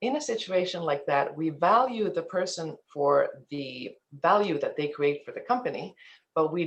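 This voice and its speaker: Someone talks at a moderate pace with a slight Finnish accent. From Finland, then eastern Canada from teens. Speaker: ethics and compliance presenter. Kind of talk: webinar presentation. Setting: online webinar.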